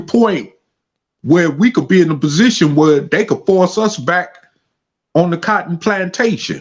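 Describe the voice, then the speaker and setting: A man talks at a moderate pace with a high pitch. His pitch varies in an ordinary way. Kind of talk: heated debate. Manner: animated.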